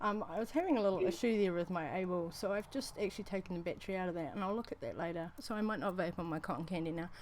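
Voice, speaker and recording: With a New Zealand accent, a woman talks at a very fast pace with hardly any pauses, her medium pitch showing ordinary variation. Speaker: vaping show host. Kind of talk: casual chat. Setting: live stream. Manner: halting.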